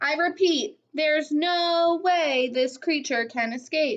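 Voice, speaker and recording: Putting on a squeaky character voice, a woman speaks at a high pitch and a fairly slow pace. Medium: read story.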